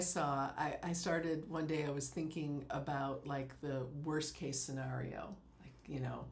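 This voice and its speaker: A woman with a very deep, low pitch and fairly even intonation, with audible room echo. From US West Coast. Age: 60s. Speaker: life coach. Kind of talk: podcast interview.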